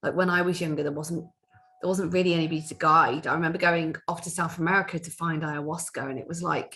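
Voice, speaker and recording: A woman talks at a very fast pace in a fairly low voice. Her intonation stays fairly even. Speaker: spiritual workshop leader. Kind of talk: workshop talk. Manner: loud; halting.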